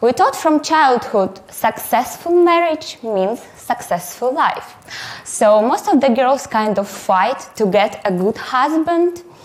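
A woman with a Russian accent and a high voice speaks at a very slow pace, her pitch swinging very widely while her loudness stays very even, over noticeable background noise. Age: 20s. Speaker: photographer and artist. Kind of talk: conference talk.

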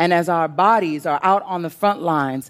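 An unremarkable speaking voice from a woman with an American accent, fairly low in pitch, with ordinary pitch variation. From US Northeast, Brooklyn, New York. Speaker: poet and organizer. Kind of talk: scripted talk on stage.

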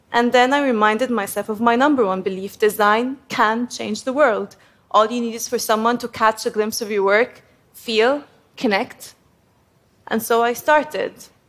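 A woman's fairly high voice with fairly even intonation, in an Arabic accent. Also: moderate pace. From Egypt (Cairo). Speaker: graphic designer. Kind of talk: prepared talk to an audience.

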